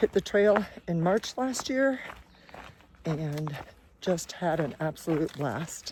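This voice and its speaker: The pace is very slow, and the intonation is lively. Background noise is noticeable. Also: woman. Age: 60s. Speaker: hiking vlogger, retired teacher. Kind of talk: casual vlog. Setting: outdoors on hiking trail.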